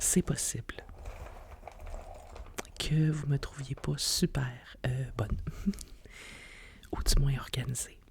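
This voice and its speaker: A woman whispers, soft-spoken and at a very slow pace. Long, frequent pauses break up her speech. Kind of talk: ASMR whispered podcast talk. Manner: whispered, soft-spoken.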